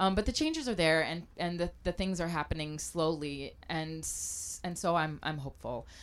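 With an American accent, a woman speaks at a moderate pace in a fairly low pitch with ordinary pitch variation and hardly any pauses, a normal speaking voice. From US South, Mobile, Alabama. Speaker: chef and restaurant owner. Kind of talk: interview conversation. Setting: live broadcast in a trailer at a food festival.

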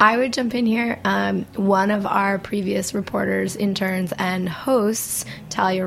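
There is noticeable background noise as a woman of medium pitch speaks fairly slowly. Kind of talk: casual interview chat. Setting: live from restaurant.

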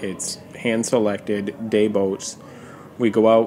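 A man's fairly low, monotone, flat voice at a very slow pace, with noticeable background noise. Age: 30s. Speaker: lobsterman. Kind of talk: casual chat.

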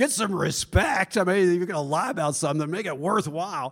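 A man puts on a character voice, gravelly and high in pitch. He speaks at a fairly quick pace. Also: lively intonation. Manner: wry, joking.

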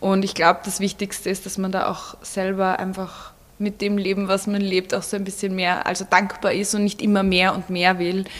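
The speech moves at a moderate pace in a monotone, flat intonation. Noticeable background noise can be heard. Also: woman, medium pitch for a woman, hardly any pauses. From Vienna, Austria. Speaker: blogger. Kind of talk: interview.

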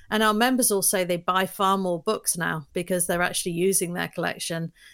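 In a London accent, a woman speaks with fairly even intonation. The recording is very clean, with a silent background. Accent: London British, kept despite years in US. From London, England. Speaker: business founder. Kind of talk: casual interview conversation.

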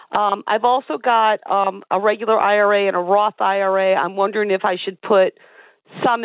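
The woman's voice sits at a medium pitch and moves at a moderate pace. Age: 50s. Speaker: caller. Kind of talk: phone-in call. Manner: halting.

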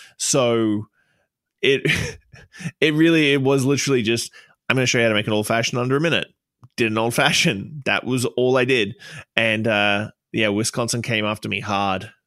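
Speaking in an Australian accent with a bright, sharp tone, the voice moves at a fairly quick pace with ordinary pitch variation and long, frequent pauses. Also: man, medium pitch for a man. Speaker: bartender and social media creator. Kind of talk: casual chat. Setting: studio.

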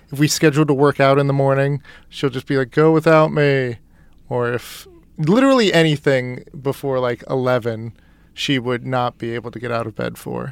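A man with an ordinary speaking voice and fairly even intonation. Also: medium pitch for a man, moderate pace. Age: 20s. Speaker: litigant, plaintiff. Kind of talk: casual chat.

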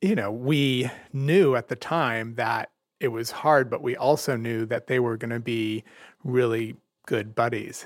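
A man speaks in a plain, everyday voice at a medium pitch, with fairly even intonation. The recording is very clean, with a silent background. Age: 50s. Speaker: parent. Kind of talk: interview.

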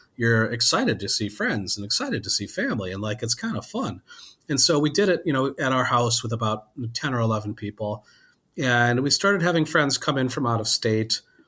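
This is a normal speaking voice: a man with an American accent at a medium pitch, with lively intonation. The recording is very clean with a silent background. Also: fairly quick pace. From Wisconsin. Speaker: food journalist and editor. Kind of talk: interview.

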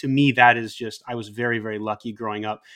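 A man's medium-pitched voice in a General American accent, very fast and fairly even in intonation, on a very clean recording with a silent background. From Japan (Hokkaido, Sapporo), American heritage. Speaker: nonprofit president and former academic. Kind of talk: casual interview conversation.

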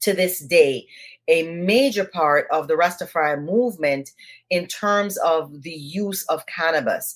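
Speaking at a fairly slow pace with an American accent, this voice has lively intonation. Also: woman. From Jamaica. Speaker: cannabis activist. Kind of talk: interview.

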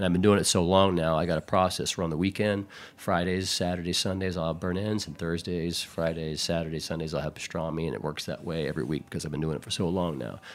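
On a very clean recording with a silent background, a man with a Texan accent speaks at a very fast pace with hardly any pauses. His very deep, low pitch carries fairly even intonation. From Houston, Texas. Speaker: barbecue pitmaster. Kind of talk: casual chat.

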